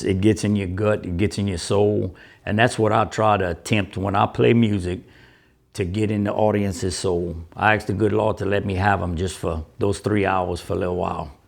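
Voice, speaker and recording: A man with an unremarkable speaking voice talks at a moderate pace, his fairly low pitch held in fairly even intonation against a quiet background. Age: 60s. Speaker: musician. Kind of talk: interview.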